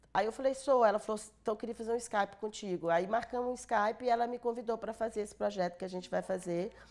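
With fairly even intonation, a woman talks at a very fast pace with hardly any pauses. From Brazil, northern Minas Gerais (Montes Claros); Minas Gerais, Brazil. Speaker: film producer; interviewee. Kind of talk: interview. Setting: studio. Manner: halting. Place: studio. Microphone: lapel.

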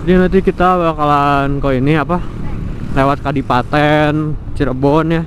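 Over noticeable background noise, a man speaks at a moderate pace with a fairly high pitch, the sound dry with no echo. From Bandung, West Java. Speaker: motovlogger. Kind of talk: casual vlog monologue while riding. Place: motorbike. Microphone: helmet.

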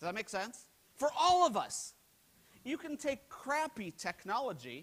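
An animated tone comes through in this voice with an American accent. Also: man. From United States. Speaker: keynote speaker, HR technology analyst. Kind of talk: conference keynote presentation. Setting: stage with audience. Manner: animated, humorous, interactive. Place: hall.

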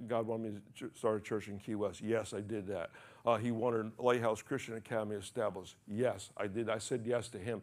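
The delivery moves at a fairly quick pace. The intonation stays monotone and flat. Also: man. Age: 70s. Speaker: pastor. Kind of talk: sermon. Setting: church. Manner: repetitive, halting delivery. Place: church.

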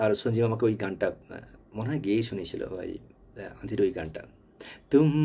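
A man's somewhat breathy, dark, mellow voice with ordinary pitch variation and light background noise. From West Bengal, India. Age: old. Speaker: channel owner reminiscing; storyteller. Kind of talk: personal reminiscence monologue. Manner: halting. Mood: nostalgic, warm, smiling. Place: home room. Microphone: phone near.

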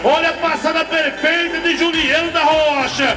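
Against noticeable background noise, a man uses a raised, projected voice at an extremely high pitch. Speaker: rodeio commentator. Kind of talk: sports commentary. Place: stadium.

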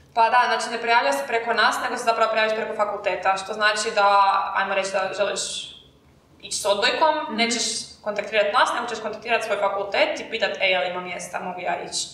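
A woman's fairly high-pitched voice with audible room echo. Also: ordinary pitch variation. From Croatia. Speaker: university student, marketing team lead. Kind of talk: casual chat. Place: classroom.

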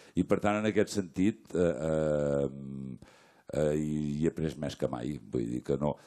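A man speaks very slowly with a very deep, low pitch and a dark, mellow tone. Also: ordinary pitch variation, quiet background. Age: 60s. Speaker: stage actor. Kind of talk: post-show talk with audience; panel discussion answer. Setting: theatre stage with audience. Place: stage. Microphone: handheld.

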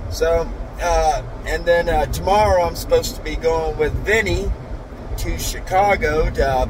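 Noticeable background noise sits behind a man talking at a fairly slow pace, the sound dry with no echo. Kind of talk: casual vlog chat. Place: car. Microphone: phone near.

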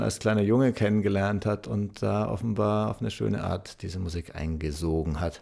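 A man with a fairly low pitch and vocal fry speaks at a fairly slow pace, with fairly even intonation and a slightly mellow tone. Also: very clean recording, silent background.

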